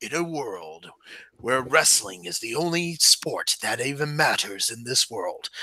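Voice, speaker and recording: At a fairly slow pace, a man talks in a put-on character voice pitched fairly high. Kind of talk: epic announcer cadence.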